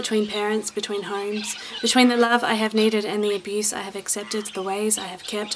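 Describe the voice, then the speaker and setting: Speaking at a very fast pace in an Australian accent, a woman has a medium-pitched voice, with light background noise behind her. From South Australia. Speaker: spoken word poet. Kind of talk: poetry reading.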